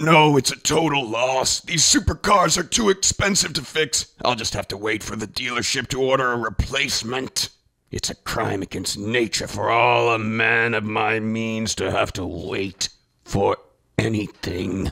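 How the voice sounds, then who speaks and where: A raspy man speaks at a moderate pace with a medium pitch and lively intonation. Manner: arrogant, entitled, dramatic.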